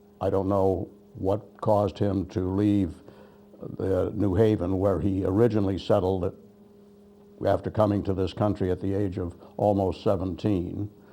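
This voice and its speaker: With a New England accent, a man speaks in a fairly low pitch and a dark, mellow tone, his intonation monotone and flat, broken by long, frequent pauses. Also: moderate pace. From western Massachusetts, Holyoke. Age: 80s+. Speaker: war veteran. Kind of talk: oral history testimony. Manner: halting.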